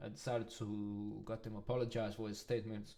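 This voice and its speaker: The voice has a dark, mellow tone and monotone, flat intonation, with a non-native accent. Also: man. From Denmark. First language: not English. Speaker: music producer and reaction streamer. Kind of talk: reaction video commentary.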